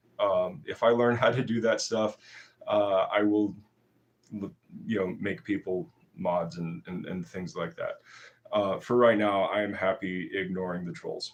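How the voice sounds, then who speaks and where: A man's fairly low voice, with ordinary pitch variation, moves along at a fairly slow pace. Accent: American. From southern Maine, US. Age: 40s. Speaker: martial arts instructor. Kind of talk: live stream Q&A. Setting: live stream. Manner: halting, many fillers.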